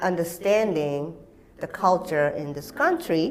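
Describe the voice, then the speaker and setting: A woman's fairly low voice with a Japanese accent, fairly slow pace, noticeable background noise. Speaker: actor and activist. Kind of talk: interview.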